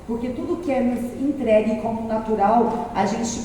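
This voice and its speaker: Amid noticeable background noise and audible room echo, a woman talks at a fairly slow pace with a fairly high pitch. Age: 30s. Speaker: city councillor and activist. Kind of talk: speech to an audience. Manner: animated, talkative.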